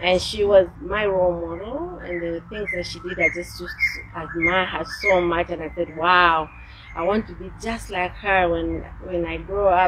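Amid noticeable background noise, a woman speaks at a moderate pace with big swings in loudness. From Zambia. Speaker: business executive; interview guest. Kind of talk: interview. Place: garden.

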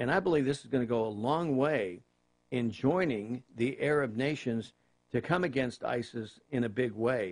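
This man talks at a moderate pace with medium pitch, ordinary pitch variation and very even loudness against a quiet background. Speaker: political talk radio host. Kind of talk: political commentary. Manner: halting, many fillers. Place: studio.

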